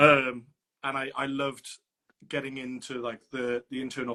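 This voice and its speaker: A man with a Welsh accent speaks at a moderate pace in a bright, sharp tone, with a dry, close sound and no echo. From Wales. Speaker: opera singer. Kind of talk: interview. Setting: live stream.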